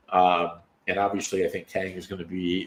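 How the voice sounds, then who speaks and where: This man's very deep, low voice moves at a fairly slow pace with monotone, flat intonation. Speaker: podcast co-host. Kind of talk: casual chat. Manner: hesitant, filler-heavy.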